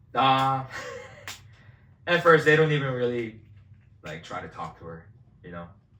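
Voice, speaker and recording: A man talks at a medium pitch and moderate pace, in a bright, sharp tone with very wide pitch swings and big swings in loudness. Long, frequent pauses and audible room echo mark the clip. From South Korea. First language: Korean. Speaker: vlogger. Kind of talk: casual chat.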